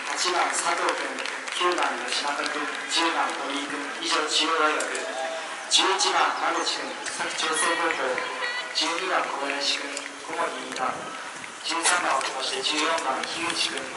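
Amid loud background noise and audible room echo, a man speaks at a fairly slow pace with long, frequent pauses. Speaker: stadium announcer. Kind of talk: event announcement. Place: stadium.

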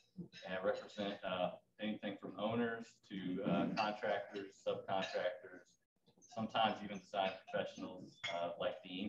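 An American-accented man talks at a moderate pace with audible room echo and light background noise. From North Carolina, near Raleigh, then Florida; North Carolina. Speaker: lawyer. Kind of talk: short talk to club members. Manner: halting with many fillers. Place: hall. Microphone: podium.

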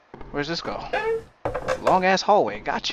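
A man speaks at a moderate pace in a dry, echo-free sound over loud background noise. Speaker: gamer. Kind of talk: gameplay commentary. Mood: joking, mildly spooked. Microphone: headset.

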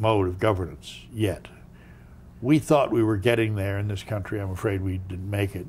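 A man with an American accent talks at a moderate pace, fairly low in pitch and somewhat breathy. His pitch varies in an ordinary way, with light background noise behind him. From United States. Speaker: former diplomat; interviewee. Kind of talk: interview. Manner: halting. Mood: reflective, storytelling. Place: home room.

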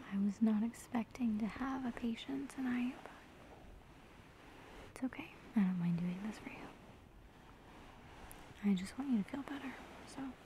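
A soft-spoken woman talks at a moderate pace with long, frequent pauses and big swings in loudness. The sound is dry with no echo, and light background noise is heard. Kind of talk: soft-spoken role-play, addressing the viewer. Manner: soft, tender, reassuring low voice. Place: home room. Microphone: phone near.

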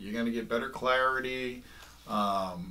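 A moderate pace marks this speech. It comes from a man. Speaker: fishing gear reviewer. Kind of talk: casual tutorial review. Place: home room. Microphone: camera far.

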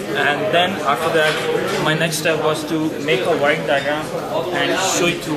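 A man speaks with ordinary pitch variation. Loud background noise is present. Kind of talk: project presentation. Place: workshop. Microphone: camera far.

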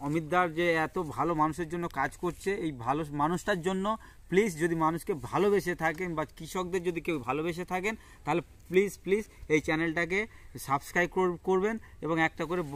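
A man's high voice with fairly even intonation, on a very clean recording with a silent background. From West Bengal, South 24 Parganas. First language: Bengali (speaking Hindi). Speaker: farmer. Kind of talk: casual interview. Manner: halting.

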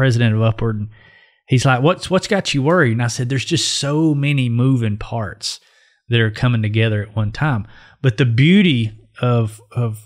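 The background stays quiet. A man talks with pitch that varies in a normal way. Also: moderate pace. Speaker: podcast co-host. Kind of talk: casual podcast conversation. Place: studio. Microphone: studio mic.

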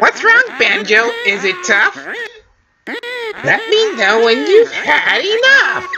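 A man's sing-song put-on character voice, extremely high-pitched and fairly slow, with long, frequent pauses. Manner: taunting, sing-song rhyming.

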